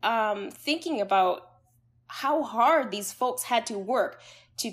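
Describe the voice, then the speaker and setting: Heard on a very clean recording with a silent background, a woman with a normal speaking voice talks at a fairly high pitch with lively intonation. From Canada. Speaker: psychologist. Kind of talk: interview conversation.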